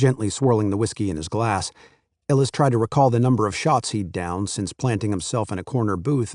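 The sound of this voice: An unforced reading voice with ordinary pitch variation sounds against a quiet background.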